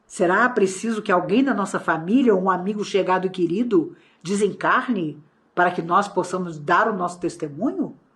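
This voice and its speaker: Over a quiet background, a somewhat breathy woman at medium pitch talks at a moderate pace with ordinary pitch variation. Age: 60s. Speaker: spiritist lecturer. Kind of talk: lecture. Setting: online talk.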